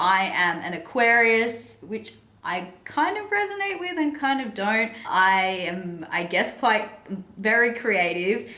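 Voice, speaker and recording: A woman's lively intonation at a very slow pace, with audible room echo and noticeable background noise. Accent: Australian. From Sydney, Australia. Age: 20s. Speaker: self-development coach and author. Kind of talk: personal story vlog. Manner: casual, chatty with fillers.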